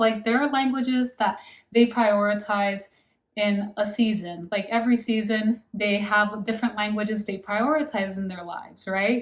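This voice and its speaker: A woman speaks in a fairly high, somewhat breathy voice with an American accent and fairly even intonation. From United States. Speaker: language-learning vlogger. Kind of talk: casual monologue to camera.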